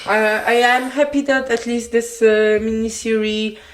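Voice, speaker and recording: Speaking fairly slowly with a Polish accent, a woman keeps a fairly even intonation in a fairly high voice. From Poland. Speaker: podcast co-host. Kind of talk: casual chat.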